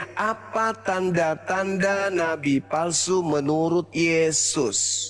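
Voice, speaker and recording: A man at a very slow pace with a high pitch, ordinary pitch variation and hardly any pauses, over noticeable background noise. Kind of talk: heated debate. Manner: loud.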